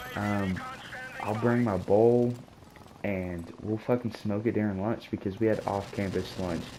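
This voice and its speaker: With noticeable background noise behind him, a man speaks at a fairly low pitch and a moderate pace in a monotone, flat intonation. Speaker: gaming channel storyteller. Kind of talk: casual storytelling. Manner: stuttering, repeats words; pauses while texting.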